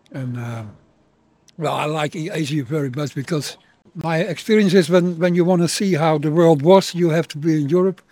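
A man with a Dutch accent and a dark, mellow tone speaks at a moderate pace with a fairly high pitch and ordinary pitch variation, on a very clean recording with a silent background. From Netherlands. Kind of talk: street interview. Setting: outdoors. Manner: halting.

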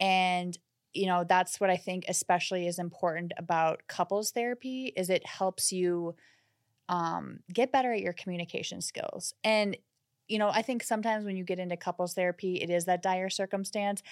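A woman's plain, everyday voice with an American accent, medium in pitch with fairly even intonation, at a moderate pace, in a very clean recording with a silent background and a dry, close sound with no echo. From US Midwest, Minnesota. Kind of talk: casual chat.

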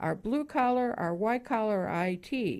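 A woman with an American accent, at a fairly slow pace. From Chicago, US Midwest. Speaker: property management consultant. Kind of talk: radio interview.

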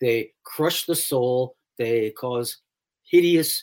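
In a very clean recording with a silent background, a man with an American accent speaks at a very slow pace, his medium pitch showing ordinary variation. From US Northeast, New York City. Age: 70s. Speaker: psychotherapist and author. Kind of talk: interview.

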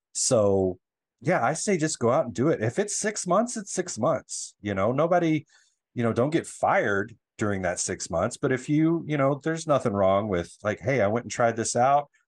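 The background is quiet as a man with an American accent speaks at a moderate pace. His pitch sits in the medium range and swings very widely. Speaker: hairstylist and social media creator. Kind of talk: casual interview.

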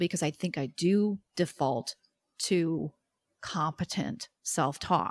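An ordinary speaking voice is captured in a very clean recording with a silent background. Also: woman, dry, close sound with no echo. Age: 40s. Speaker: podcast host and psychologist. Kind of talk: interview.

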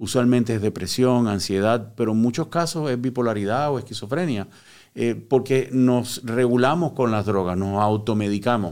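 A man with an unremarkable speaking voice talks at a moderate pace and medium pitch, using ordinary pitch variation, on a very clean recording with a silent background. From Puerto Rico (born in Cuba). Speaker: psychotherapist, recovered addict. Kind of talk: personal testimony in interview. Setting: studio.

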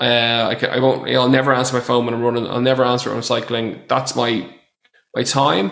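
A man with an Irish accent, bright and sharp in tone, at a moderate pace. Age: 30s. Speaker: personal trainer. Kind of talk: casual chat.

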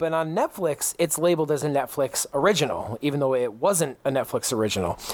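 A man with a fairly high pitch talks at a fairly quick pace with lively intonation and very even loudness. Noticeable background noise is present. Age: 30s. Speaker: gaming podcast host. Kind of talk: casual chat.

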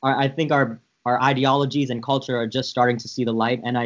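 An American-accented man speaks at a medium pitch with monotone, flat intonation. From San Francisco, US. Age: 20s. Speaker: podcast host, guest. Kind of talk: casual chat.

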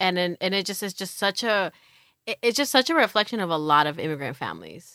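A woman with a Californian accent at a very fast pace, medium pitch and a bright, sharp tone, on a very clean recording with a silent background and a dry, close sound with no echo. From Los Angeles, San Fernando Valley. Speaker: abolitionist thinker. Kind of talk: casual chat. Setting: studio. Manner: halting, many fillers.

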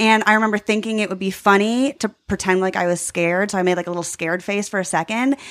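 Speaking very fast with hardly any pauses, a woman with an American accent and medium pitch keeps a fairly even intonation on a very clean recording with a silent background. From US Northeast, Long Island, New York. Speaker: magician. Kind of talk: casual chat. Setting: in-person conversation.

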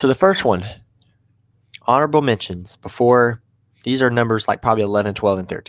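On a very clean, dry, close recording with no echo and a silent background, a man with a medium pitch speaks at a moderate pace in an animated tone with lively intonation. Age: 20s. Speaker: podcast host, college student. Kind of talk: casual monologue.

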